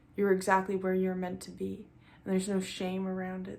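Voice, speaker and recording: The talking proceeds at a moderate pace, and room echo can be heard around it. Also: woman. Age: 20s. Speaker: vlogger. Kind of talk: casual chat. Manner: mellow, calm.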